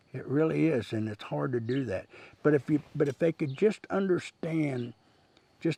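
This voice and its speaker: Speaking with a Midwestern US accent, a man uses a fairly high pitch, a dark, mellow tone and lively intonation. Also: dry, close sound with no echo. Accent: rural Midwestern US. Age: 60s. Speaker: rancher. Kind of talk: interview monologue. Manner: casual, with frequent fillers.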